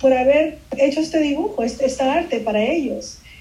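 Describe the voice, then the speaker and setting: A woman talks at a moderate pace in a high voice, her intonation fairly even. Room echo is audible, and there is noticeable background noise. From Peru (Lima) until 8, then raised in Miami. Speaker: illustrator. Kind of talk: interview. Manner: halting, many repetitions and fillers.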